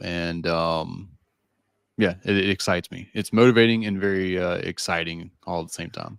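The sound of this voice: With a Southern US accent, a man speaks at a moderate pace in a very deep, low pitch, recorded very cleanly against a silent background with a dry, close sound and no echo. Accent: Southern American.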